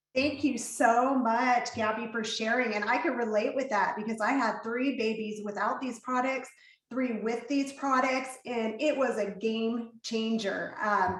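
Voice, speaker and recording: Amid noticeable background noise and audible room echo, a woman talks at a fairly slow pace with fairly even intonation and hardly any pauses. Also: fairly high pitch for a woman. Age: 40s. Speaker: event host and mother. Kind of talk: hosting an online panel.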